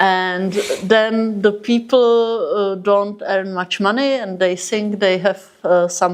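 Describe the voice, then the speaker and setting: Very slow speech from a woman in a Czech accent, medium-pitched with fairly even intonation. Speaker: interpreter. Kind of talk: interpreting.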